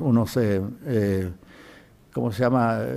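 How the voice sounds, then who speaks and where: Very slowly, a man speaks in a dark, mellow tone with ordinary pitch variation. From Chile. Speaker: cardiologist and witness; witness. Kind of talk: testimony. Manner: halting. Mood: calm, reflective recollection. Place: hall. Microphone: podium.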